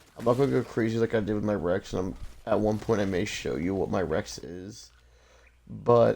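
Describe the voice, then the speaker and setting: A man speaks at a moderate pace in a dark, mellow tone with ordinary pitch variation. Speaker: gaming YouTuber. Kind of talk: gameplay live stream commentary. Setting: live stream. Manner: halting, many fillers; casual.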